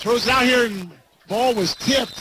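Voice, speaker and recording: Noticeable background noise under a man's speech, his pitch varying in an ordinary way. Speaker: play-by-play radio announcer. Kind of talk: live play-by-play sports commentary. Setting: stadium broadcast booth. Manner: energetic but even-toned, matter-of-fact.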